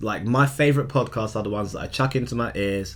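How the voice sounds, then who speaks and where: This man has an unremarkable speaking voice, medium in pitch with ordinary pitch variation. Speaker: podcast co-host. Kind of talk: casual chat.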